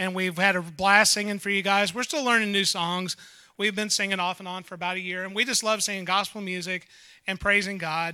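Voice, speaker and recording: A raised, projected male voice, high in pitch, at a fairly quick pace with fairly even intonation, on a very clean recording with a silent background. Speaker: gospel singer. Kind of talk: stage introduction.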